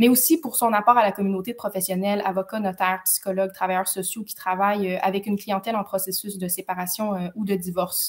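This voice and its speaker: Her voice somewhat breathy, a woman speaks at a medium pitch and a fairly quick pace with fairly even intonation. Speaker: lawyer hosting a legal info webinar. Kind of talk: live webinar hosting. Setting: live stream on social media. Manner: fast; hesitant, many fillers.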